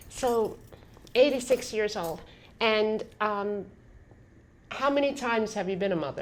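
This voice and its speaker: In an American accent, a woman with a fairly high pitch and ordinary pitch variation talks at a fairly slow pace, with big swings in loudness and long, frequent pauses. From New York. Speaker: podcast host. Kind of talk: casual conversation.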